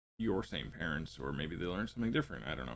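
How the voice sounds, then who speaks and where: A man is talking. His voice has vocal fry. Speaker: parenting podcast host. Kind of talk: podcast talk from notes. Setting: live stream. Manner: stumbling over words.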